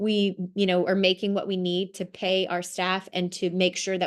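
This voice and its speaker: Over a quiet background, a woman talks at a fairly quick pace in a medium pitch with a monotone, flat intonation. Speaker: social work program presenter. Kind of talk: presentation over video call. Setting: video call. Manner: fast.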